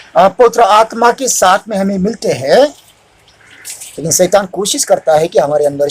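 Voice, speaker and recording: There is noticeable background noise in this clip. The man's voice is high in pitch and makes very wide pitch swings. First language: Marathi (speaking Hindi). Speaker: preacher. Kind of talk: sermon. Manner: halting, self-correcting.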